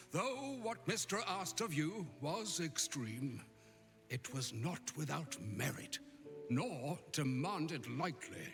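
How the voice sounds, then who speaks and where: A man uses a put-on character voice at a fairly high pitch. He speaks at a fairly slow pace over clear background music. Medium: video game. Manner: grave, measured, gently wry.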